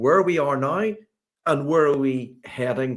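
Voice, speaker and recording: In a Northern Irish accent, a man speaks with a fairly high pitch and ordinary pitch variation. The recording is very clean, with a silent background. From Northern Ireland, Belfast. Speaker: sports strategy consultant. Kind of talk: podcast interview.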